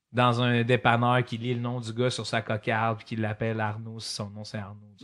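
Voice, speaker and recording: A man with a Quebec accent speaks at a moderate pace in a medium pitch with monotone, flat intonation. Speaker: comedian. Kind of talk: casual chat.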